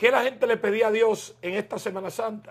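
A man speaks in a high voice with fairly even intonation. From Dominican Republic. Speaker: political talk show host. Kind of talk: political interview. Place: home room. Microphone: lapel.

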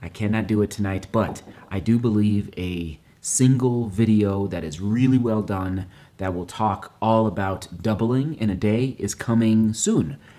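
A quiet, fairly slow man's voice with a dark, mellow tone. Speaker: running vlogger. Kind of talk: casual vlog talk. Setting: at home at night. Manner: quiet, hushed. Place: kitchen. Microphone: phone near.

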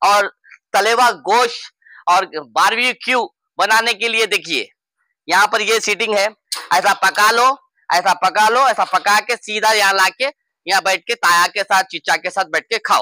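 A bright, sharp tone at a fairly slow pace, in a dry, close sound with no echo. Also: man, high pitch for a man, ordinary pitch variation.

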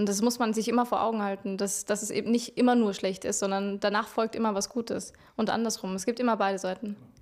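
Against a quiet background, a woman with a fairly high pitch rushes at a very fast pace in a monotone, flat intonation, with hardly any pauses. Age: 20s. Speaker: singer-songwriter; interviewee. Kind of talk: interview. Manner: hesitant, many filler sounds. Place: office. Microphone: handheld.

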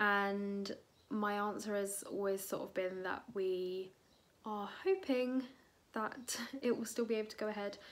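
A woman's fairly slow delivery with fairly even intonation. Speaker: vlogger. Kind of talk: casual vlog chat. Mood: friendly, a bit wistful. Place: home room. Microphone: phone near.

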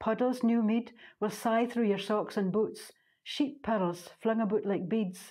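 A woman speaks at a fairly slow pace in an Orkney accent. Her pitch sits fairly high, with a dark, mellow tone. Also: fairly even intonation. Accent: Orcadian Scots. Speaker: poet. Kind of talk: poetry reading.

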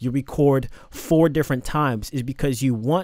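The speech moves at a fairly slow pace with ordinary pitch variation, the sound dry with no echo and the background quiet. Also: man. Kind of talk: tutorial. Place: studio.

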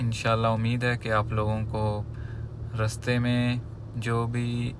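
A man speaks at a very slow pace in a monotone, flat intonation. There is noticeable background noise. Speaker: travel vlogger driving. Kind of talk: casual vlog chat. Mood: calm, friendly. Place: car. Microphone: phone near.

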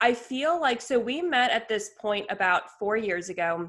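A woman speaks in an enthusiastic tone that sounds bright and sharp. The background is quiet. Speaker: lifestyle blogger. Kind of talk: casual chat. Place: home room.

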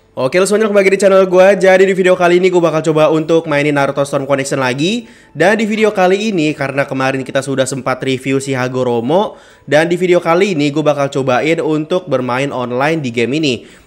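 A man talks at a very fast pace with hardly any pauses. His pitch varies in an ordinary way over faint music in the background. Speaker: gaming youtuber. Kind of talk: casual gameplay commentary. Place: home room.

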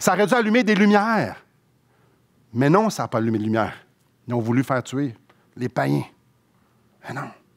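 Speaking with long, frequent pauses and very wide pitch swings, a man with a Quebec accent talks over a quiet background. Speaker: pastor. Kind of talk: sermon, expository preaching. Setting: church. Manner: earnest, explanatory, conversational; fervent, heartfelt, slower and pleading when praying. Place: church. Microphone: headset.

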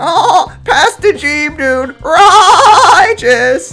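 A put-on character voice at an extremely high pitch, with faint music playing in the background. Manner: laid-back, slow, stoned.

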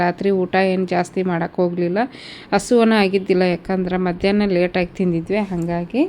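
Noticeable background noise behind a monotone, flat delivery. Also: woman. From North Karnataka, Gadag area. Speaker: family vlogger and mother. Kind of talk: casual vlog narration.

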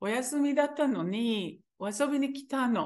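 A woman's high voice with a Hebrew accent. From Israel. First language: Hebrew (speaking Japanese). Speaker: teacher. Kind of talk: interview testimony. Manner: halting.

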